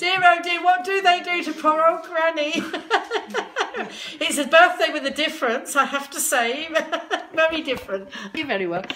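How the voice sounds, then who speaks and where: A woman with an extremely high voice projects it loudly, leaving long, frequent pauses. Light background noise sits behind her. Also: ordinary pitch variation, moderate pace. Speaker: grandmother live-streamer. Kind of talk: casual live stream talk. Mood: amused, playful. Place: home room. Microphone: phone near.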